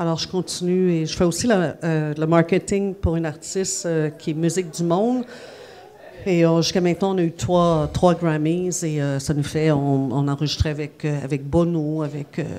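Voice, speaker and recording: Her speech is a plain, everyday voice, as a woman talks at a moderate pace in a fairly low pitch. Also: fairly even intonation. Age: 50s. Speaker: music journalist. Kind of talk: interview. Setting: café venue.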